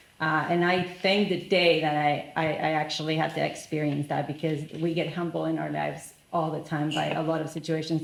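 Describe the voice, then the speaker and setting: A woman speaks at a fairly quick pace in a very deep, low voice. Her intonation stays monotone and flat, with audible room echo. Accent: Spanish. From Argentina. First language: Spanish. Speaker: business leader. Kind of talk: panel discussion.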